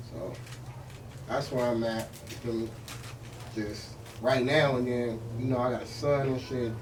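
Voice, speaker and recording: Speech in an American accent comes with monotone, flat intonation and long, frequent pauses. Audible room echo and noticeable background noise fill the recording. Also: man, medium pitch for a man, fairly slow pace. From Los Angeles, Baldwin Village. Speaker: rapper. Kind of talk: casual interview chat.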